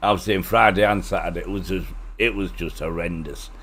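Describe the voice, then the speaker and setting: A man speaks with a Teesside accent. Audible room echo surrounds his voice. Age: 60s. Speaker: flight sim streamer. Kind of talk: casual chat.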